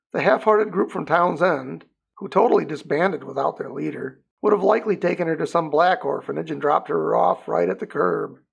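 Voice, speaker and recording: Putting on a raspy character voice, a man talks at a fairly quick pace with a fairly high pitch. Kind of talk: audiobook narration. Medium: read story.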